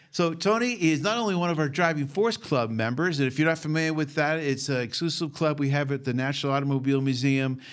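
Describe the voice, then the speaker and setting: Talking at a very fast pace with hardly any pauses, a man with a Boston accent keeps his loudness very even. His pitch is fairly high, with ordinary variation. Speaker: museum president and podcast host. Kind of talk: casual podcast interview.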